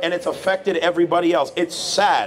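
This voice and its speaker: Against light background noise, a high-pitched man speaks at a fairly quick pace with fairly even intonation. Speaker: street preacher. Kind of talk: street preaching, answering a passer-by's challenge about suffering. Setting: outdoors. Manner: earnest, firm, lecturing, at times sympathetic. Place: street. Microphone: handheld.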